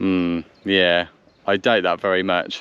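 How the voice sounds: A man speaks slowly at a low pitch with little pitch movement. His tone is fairly bright, as well as clear and smooth.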